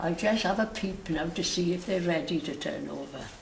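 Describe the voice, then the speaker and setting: At a moderate pace, a woman with a Welsh accent speaks with ordinary pitch variation over noticeable background noise. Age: 80s+. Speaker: home baker. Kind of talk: cooking demonstration.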